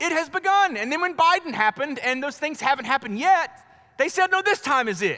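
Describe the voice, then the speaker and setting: Over noticeable background noise, a man with an American accent talks in an animated tone, using a raised, projected voice at an extremely high pitch with very wide pitch swings, a fairly quick pace and hardly any pauses. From US South, North Carolina. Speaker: pastor. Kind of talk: sermon.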